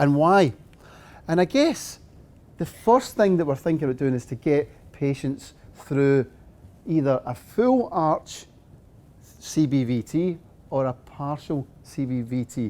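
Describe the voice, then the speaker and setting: A man with a Scottish accent speaks at a fairly high pitch in a dark, mellow tone, with ordinary pitch variation. His pace is fairly slow, with long, frequent pauses. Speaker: dentist and implant lecturer. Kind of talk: lecture.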